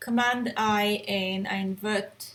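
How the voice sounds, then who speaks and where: A woman speaks over noticeable background noise. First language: not English. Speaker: photographer and editing tutor. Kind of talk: tutorial. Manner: casual, hesitant with fillers.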